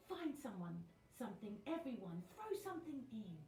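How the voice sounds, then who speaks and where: In a put-on character voice, a woman speaks at a moderate pace with a high pitch and very wide pitch swings, over light background noise and slight echo. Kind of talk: bedtime story. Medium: read story.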